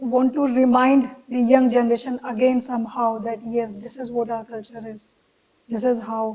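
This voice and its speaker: In an Indian accent, a woman talks at a moderate pace in a high pitch, her intonation monotone and flat while her loudness swings widely. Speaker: fashion designer. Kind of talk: interview answer.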